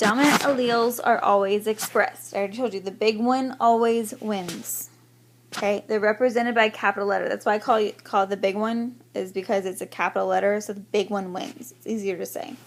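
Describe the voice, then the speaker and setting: With fairly even intonation, a normal speaking voice talks at a fairly quick pace. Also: woman, fairly high pitch for a woman. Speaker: teacher. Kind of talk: recorded lecture.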